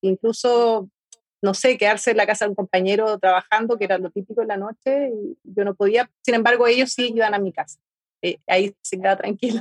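A woman with an unremarkable speaking voice, fairly high in pitch, at a fairly quick pace, in a dry, close sound with no echo. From Argentina, rural Mendoza. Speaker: artist. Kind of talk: interview.

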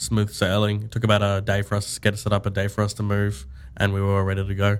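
A man at a fairly low pitch and fairly quick pace, with an Australian accent. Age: 20s. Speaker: e-commerce co-founder. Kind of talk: casual interview.

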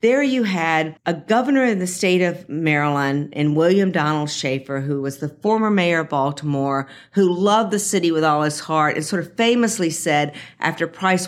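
A woman with an American accent and a normal speaking voice, fairly low in pitch, with ordinary pitch variation at a moderate pace. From US South, Jackson, Mississippi. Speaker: ballpark planning executive. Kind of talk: interview. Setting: office at a stadium.

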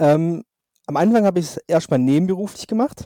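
The man speaks with a high pitch. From southwest Germany, Swabia (Albstadt near Reutlingen). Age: 30s. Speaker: magician. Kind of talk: casual interview.

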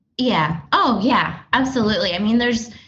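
A woman talks at a moderate pace, and audible room echo can be heard around her. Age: 30s. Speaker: counseling client. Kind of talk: counseling session. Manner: laughs often while talking.

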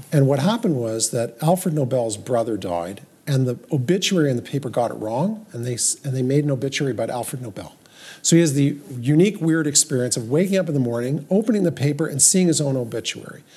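A man with a fairly high, dark, mellow voice speaks at a very fast pace with lively intonation. His delivery is somewhat breathy, and the recording is very clean with a silent background. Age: 60s. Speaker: podcast co-host, doctor. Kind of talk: casual chat about Judaism and life.

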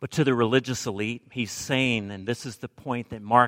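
A man's unremarkable speaking voice at medium pitch with an American accent, at a moderate pace, in a very clean recording with a silent background and a dry, close sound with no echo. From Alabama, US South. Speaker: preacher. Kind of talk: sermon.

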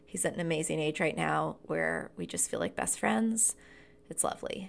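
The recording is very clean and the background silent. It features a woman with an American accent. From US South, rural North Carolina. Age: 30s. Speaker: life coach and podcast host. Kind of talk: casual monologue.

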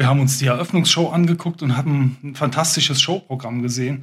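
There is a slight breathiness in this voice, and its pitch moves in a normal way. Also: man. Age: 50s. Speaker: special-needs school headteacher. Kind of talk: casual interview chat. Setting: youth centre, children in background.

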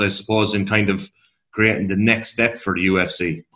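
Fairly quick and bright, sharp in tone, a man with an Irish accent speaks at a fairly low pitch. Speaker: podcast co-host. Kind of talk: interview.

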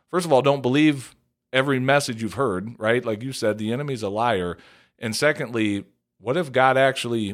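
A very clean recording with a silent background, featuring a man's moderate pace and ordinary pitch variation. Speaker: podcast host and pastor. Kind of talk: casual podcast chat.

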